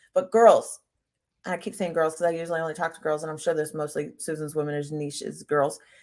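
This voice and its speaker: A woman with a fairly low pitch speaks at a very fast pace in an animated tone, with big swings in loudness. The recording is very clean, with a silent background. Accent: American. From US Midwest (Cincinnati, Ohio). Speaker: health coach and personal trainer. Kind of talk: casual chat.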